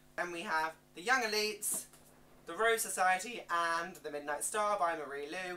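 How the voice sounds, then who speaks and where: A woman speaks at a moderate pace in a medium pitch, with ordinary pitch variation and noticeable background noise. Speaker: book youtuber. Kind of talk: book haul video.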